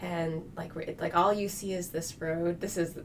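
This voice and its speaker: With noticeable background noise and audible room echo, a woman speaks at a fairly low pitch. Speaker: geoscience professor and associate dean. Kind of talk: interview. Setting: podcast studio. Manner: fast; animated.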